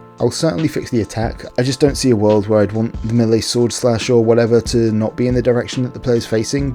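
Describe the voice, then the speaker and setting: Music plays behind a man whose intonation stays fairly even. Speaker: indie game developer. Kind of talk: casual devlog narration.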